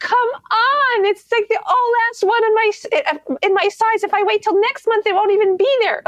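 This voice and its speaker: A woman's put-on character voice, whiny in sound and tone, at an extremely high pitch and a moderate pace. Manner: whiny, pleading.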